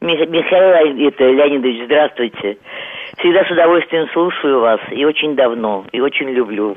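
A woman's very deep, low voice at a moderate pace, with lively intonation. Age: 70s. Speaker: radio caller. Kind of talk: call-in question. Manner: agitated.

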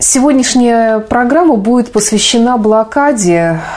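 Over noticeable background noise, a woman talks at a very slow pace with lively intonation. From Saint Petersburg, Russia. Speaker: radio presenter. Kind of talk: radio presenting. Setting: radio studio.

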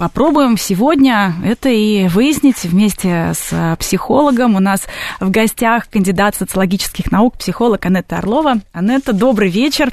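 A woman's plain, everyday voice, fairly high in pitch, at a moderate pace with lively intonation and very even loudness. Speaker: radio host. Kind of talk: radio talk show hosting. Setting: radio studio.

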